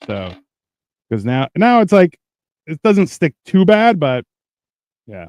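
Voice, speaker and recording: A high-pitched male voice at a very slow pace, with very wide pitch swings, big swings in loudness, long, frequent pauses, and a dry, close sound with no echo. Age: adult, married. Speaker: podcast co-host. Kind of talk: casual chat.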